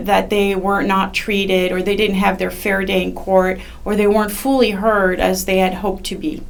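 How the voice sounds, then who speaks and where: Background noise is noticeable and room echo audible. A woman of medium pitch speaks at a moderate pace with monotone, flat intonation. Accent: French. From France. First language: French. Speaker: judicial candidate, attorney. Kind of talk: interview. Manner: halting, many fillers.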